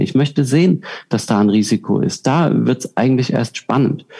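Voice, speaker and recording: A man uses a plain, everyday voice at a medium pitch and a moderate pace. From southern Germany. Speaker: professional juggler and keynote speaker. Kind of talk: interview.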